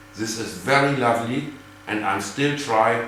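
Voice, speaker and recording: A man speaks at a medium pitch with a German accent and ordinary pitch variation. Room echo and background noise are both noticeable. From Germany. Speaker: geocacher and hobby cache builder. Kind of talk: prepared video greeting.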